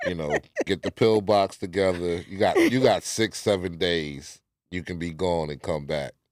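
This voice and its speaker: At a moderate pace, a man with an American accent speaks in a very deep, low pitch with ordinary pitch variation. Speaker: live stream co-host. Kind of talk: casual chat. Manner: nonchalant tone.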